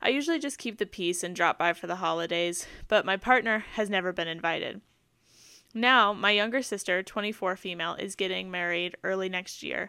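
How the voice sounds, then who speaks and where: On a very clean recording with a silent background, a woman with a bright, sharp tone at medium pitch talks at a fairly quick pace with ordinary pitch variation. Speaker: podcast co-host. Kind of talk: casual chat. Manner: laughs often, casual.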